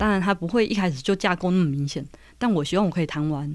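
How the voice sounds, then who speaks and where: A woman speaks in a normal speaking voice with a fairly low pitch and lively intonation, on a very clean recording with a silent background. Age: 30s. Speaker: writer. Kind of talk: casual chat.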